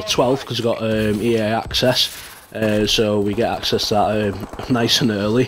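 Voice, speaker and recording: The man talks at a moderate speed. Clear background noise runs beneath him. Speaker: gaming youtuber. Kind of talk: casual vlog. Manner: monotone.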